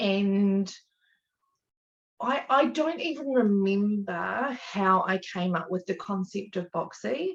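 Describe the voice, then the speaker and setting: Speaking very slowly at medium pitch, a woman with an Australian accent uses lively intonation. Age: 30s. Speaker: small business owner and mother. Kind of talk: interview.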